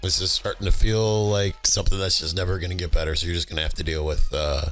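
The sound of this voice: Man's put-on character voice, very deep and low, hoarse, gravelly and raspy, at a very fast pace.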